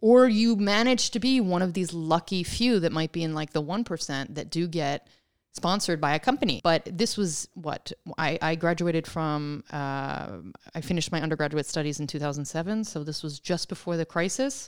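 In an ordinary speaking voice, a woman with fairly low pitch talks at a moderate pace with lively intonation, on a very clean recording with a silent background. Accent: American. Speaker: author and writer. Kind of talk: interview conversation.

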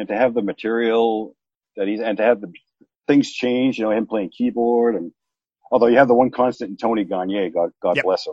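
Using a plain, everyday voice, a man speaks at a fairly quick pace with fairly even intonation. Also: medium pitch for a man. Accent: American. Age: 40s. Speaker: music fan. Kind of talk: casual chat.

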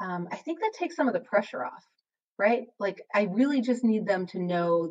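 A woman with an American accent and an unremarkable speaking voice, at a moderate pace with ordinary pitch variation. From Wisconsin, US Midwest. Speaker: high school English teacher and author. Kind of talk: casual interview conversation.

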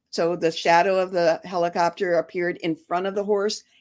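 Someone with a Michigan accent speaks on a very clean recording with a silent background. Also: woman. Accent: US Midwest (Michigan). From Detroit, Michigan. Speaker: former sheriff's posse volunteer and horse owner. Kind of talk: interview. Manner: halting, many fillers.

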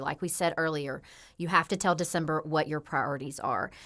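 A voice with a Tennessee accent, captured in a very clean recording against a silent background. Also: woman. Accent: Southern US (Tennessee). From US South, Memphis, Tennessee. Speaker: podcast host and coach. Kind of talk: casual chat.

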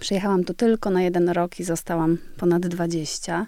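A woman's dark, mellow voice at a medium pitch and moderate pace. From Poland, West Pomerania (Świdwin). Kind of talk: interview conversation.

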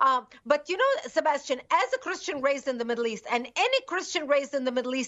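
With a Lebanese accent, a woman speaks very fast at a high pitch, her intonation lively. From Lebanon. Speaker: activist group founder. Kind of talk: interview.

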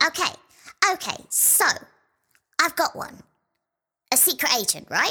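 This put-on character voice sits at an extremely high pitch, moving at a fairly slow pace with long, frequent pauses. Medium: audio drama.

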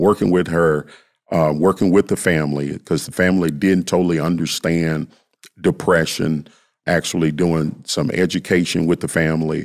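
A man's very deep, low voice in monotone, flat intonation at a moderate pace. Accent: Southern US. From US South, Memphis. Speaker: youth behavioral health worker. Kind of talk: interview.

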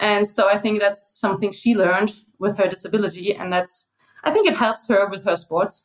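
A woman with a German accent, medium-pitched, fairly quick, and fairly even in intonation. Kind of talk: interview.

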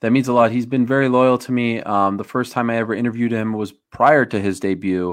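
A man with an American accent talks at a fairly quick pace in a plain, everyday voice. His intonation stays fairly even. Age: 30s. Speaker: sports broadcaster. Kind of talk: casual chat.

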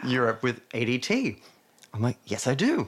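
The speaker is male. He talks with an Australian accent. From Australia, New South Wales (Hunter region). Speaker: dancer and choreographer. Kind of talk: interview.

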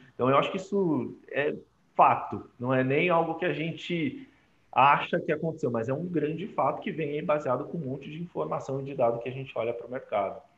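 A man talks at a fairly quick pace with a fairly high pitch and ordinary pitch variation. It is an ordinary speaking voice. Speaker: digital transformation lead. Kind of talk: casual chat.

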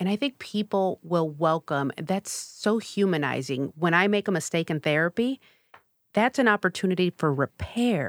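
A woman with an American accent and an unremarkable speaking voice talks at a moderate pace, her fairly low pitch carried by lively intonation and very even loudness. The sound is dry and close with no echo, on a very clean recording with a silent background. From US Midwest, south side of Chicago. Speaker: clinical psychologist and nonprofit director. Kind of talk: podcast interview.

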